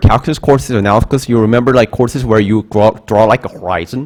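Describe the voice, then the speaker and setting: A man speaks with a Korean accent. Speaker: math instructor. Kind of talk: lecture. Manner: halting.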